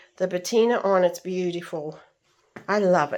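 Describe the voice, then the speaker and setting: Ordinary pitch variation and a moderate pace in a woman's a normal speaking voice. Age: 60s. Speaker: antiques dealer and lifestyle vlogger. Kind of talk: casual vlog talk to camera. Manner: chatty, with many fillers.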